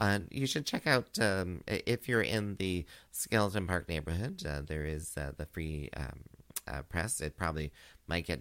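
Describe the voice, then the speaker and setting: With an animated, playful tone and lively intonation, a man speaks at a moderate pace in a very deep, low pitch marked by vocal fry. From Canada, Kingston Ontario. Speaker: drag queen and radio host. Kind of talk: radio dj patter: campy, gushing drag-queen community radio hosting. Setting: radio studio, live broadcast. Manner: animated, flamboyant and playful, with pet names like 'sweeties' and frequent laughter; chatty and rambling, with ad-libbed asides and plugs for local events.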